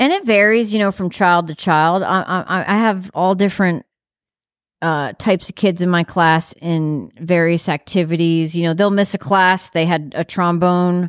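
A woman with an American accent uses a plain, everyday voice, fairly low in pitch with ordinary variation, at a moderate pace. The recording is very clean, dry and close, with a silent background and no echo. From New York. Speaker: visual artist and art teacher. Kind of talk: casual chat. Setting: in person.

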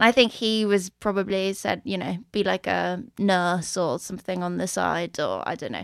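Recorded very cleanly against a silent background, this voice has a Swedish accent, a moderate pace and ordinary pitch variation. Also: woman, medium pitch for a woman. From Sweden, Stockholm. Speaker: drag show organizer and performer. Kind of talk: casual interview.

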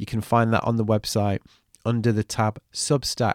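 At a moderate pace and medium pitch, a man speaks in a dry, close sound with no echo on a very clean recording with a silent background.

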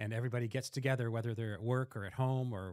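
A man uses a plain, everyday voice with fairly even intonation, the sound dry and close with no echo. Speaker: news editor.

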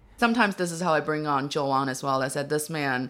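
A woman's very deep, low pitch with a bright, sharp tone, on a very clean recording against a silent background. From Northeast China (Dongbei). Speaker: stand-up comedian. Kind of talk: interview conversation. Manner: laughs often while talking.

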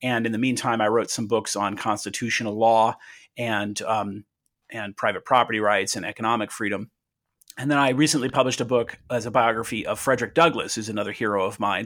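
In a normal speaking voice, a man with a General American accent talks at a fairly quick pace with medium pitch and fairly even intonation, recorded very cleanly against a silent background. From Southern California. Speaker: attorney and author. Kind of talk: interview.

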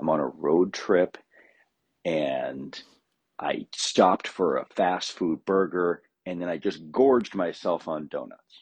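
A man with an American accent, very deep and low in pitch, with vocal fry and ordinary pitch variation, at a very slow pace, in a dry, close sound with no echo. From California. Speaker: recurring contributor. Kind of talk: storytelling segment.

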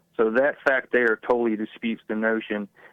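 In a flat monotone, a man speaks at a moderate pace and a medium pitch. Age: 40s. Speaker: caller. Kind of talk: phone-in call. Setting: phone call.

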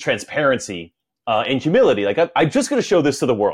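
A man's fairly quick speech with vocal fry and very wide pitch swings. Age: 40s. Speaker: podcast host and masters CrossFit athlete. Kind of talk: casual interview chat. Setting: video call.

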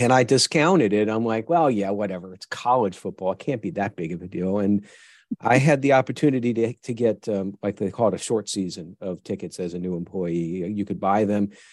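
A normal speaking voice, this man talks at a fairly quick pace and fairly low pitch in an American accent, with ordinary pitch variation, a quiet background, and a dry, close sound with no echo. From US Northeast, western New York (Buffalo). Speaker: virtual chief information security officer. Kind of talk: interview.

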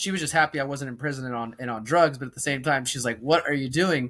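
At a very fast pace, a man speaks in a bright, sharp tone. His pitch is fairly high, with fairly even intonation. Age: 30s. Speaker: journalist and activist. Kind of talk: podcast interview.

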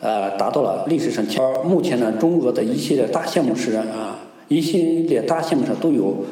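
A man with a fairly high pitch and very wide pitch swings at a moderate pace, amid audible room echo and noticeable background noise. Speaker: research professor on Sino-Russian economics. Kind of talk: interview answers. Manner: hesitant with many fillers.

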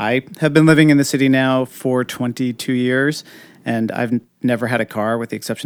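At a fairly quick pace, a man talks with medium pitch. The sound is dry and close with no echo. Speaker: TV producer and streets activist. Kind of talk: casual interview. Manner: energetic.

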